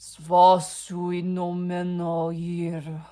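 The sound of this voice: The speaker uses a put-on character voice at a middle pitch. The intonation is monotone and flat.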